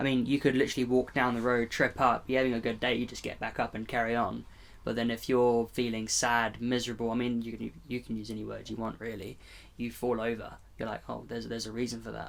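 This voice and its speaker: Against a silent background in a very clean recording, a man speaks very fast in a flat monotone at a medium pitch. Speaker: podcast host. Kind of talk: casual chat. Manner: halting.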